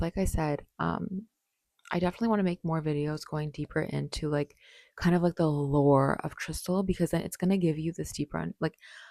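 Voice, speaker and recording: With a dark, mellow tone and a fairly low pitch, a woman talks at a fairly quick pace in a dry, close sound with no echo. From Canada. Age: 20s. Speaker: vlogger. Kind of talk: personal vlog monologue. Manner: casual, filler-heavy; bubbly.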